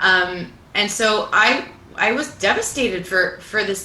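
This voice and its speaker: Against noticeable background noise and audible room echo, a woman with a Canadian accent speaks at medium pitch with fairly even intonation. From Canada, Italian Canadian family. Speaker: singer-songwriter. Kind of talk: interview conversation. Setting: livestream from a clubhouse.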